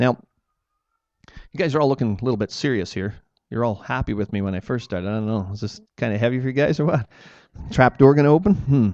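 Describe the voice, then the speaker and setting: With a Canadian accent, a man at a medium pitch races at a very fast pace in an animated tone with lively intonation and long, frequent pauses, over a quiet background. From Ontario, Canada. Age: 40s. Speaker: creation ministry speaker. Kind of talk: church talk. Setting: church with audience.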